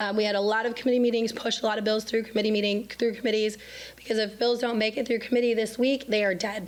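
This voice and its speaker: A woman's fairly high voice at a very fast pace, monotone and flat in intonation, very even in loudness, with audible room echo. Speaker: state legislator. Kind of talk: public forum update. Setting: city council chambers. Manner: halting.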